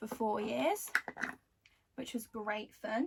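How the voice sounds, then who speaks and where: A woman speaks with a Birmingham accent and ordinary pitch variation. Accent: Birmingham (Brummie) English. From Birmingham, England. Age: 20s. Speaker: beauty vlogger. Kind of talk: casual chat. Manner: casual, filler-heavy.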